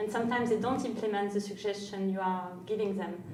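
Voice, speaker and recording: A fairly high-pitched woman in a French accent, with audible room echo and noticeable background noise. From France. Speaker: CEO, entrepreneur. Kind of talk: interview. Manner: hesitant, many fillers.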